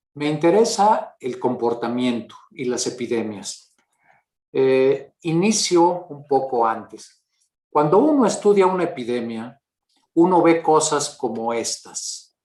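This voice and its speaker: A man talks at a very slow pace with a fairly high pitch. His pitch swings very widely. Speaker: mathematics professor. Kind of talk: lecture. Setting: video call. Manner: halting.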